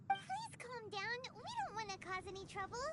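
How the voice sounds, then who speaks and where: A put-on character voice at an extremely high pitch, moderate pace, loud background noise. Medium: video game.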